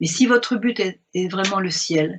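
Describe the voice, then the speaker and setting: This woman's voice is somewhat breathy. Her pitch sits fairly low. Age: 70s. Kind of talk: spiritual talk commenting a message.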